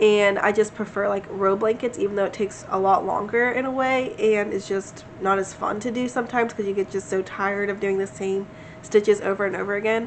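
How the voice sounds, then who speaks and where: Against noticeable background noise, a woman of medium pitch speaks at a fairly quick pace with fairly even intonation. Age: 20s. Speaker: crochet vlogger. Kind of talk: casual vlog chat. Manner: conversational, filler-heavy.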